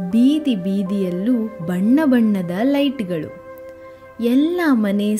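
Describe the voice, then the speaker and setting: Lively intonation over music in the background. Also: woman. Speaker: storyteller. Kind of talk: children's bedtime story narration.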